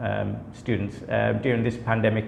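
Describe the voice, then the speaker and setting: A man with a British accent speaks in a room with audible echo and noticeable background noise. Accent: British accent, audible in his speech. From UK. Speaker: company director, study visa consultant. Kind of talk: company introduction video. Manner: many filler words, hesitant.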